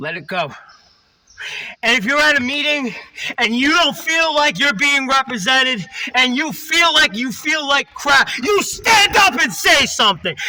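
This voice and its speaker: In a raised, projected voice, a man speaks at a fairly slow pace with an extremely high pitch and very wide pitch swings. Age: 30s. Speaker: recovering alcoholic vlogger. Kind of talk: personal testimony monologue. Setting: in a car.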